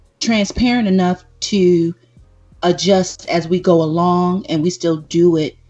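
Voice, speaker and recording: Music plays in the background as a woman of medium pitch speaks at a very slow pace. She leaves long, frequent pauses. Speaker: podcast co-host. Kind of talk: live podcast chat.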